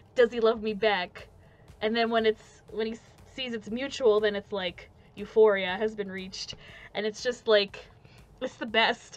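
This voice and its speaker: A woman speaks at a moderate pace with fairly high pitch and flat, monotone intonation, leaving long, frequent pauses. Music plays in the background. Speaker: podcast host. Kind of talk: casual chat. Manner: casual, filler-heavy.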